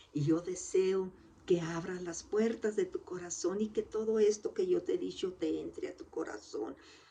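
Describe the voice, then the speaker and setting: The speech moves at a fairly slow pace with big swings in loudness. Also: woman. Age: 60s. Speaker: lay preacher. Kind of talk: sermon.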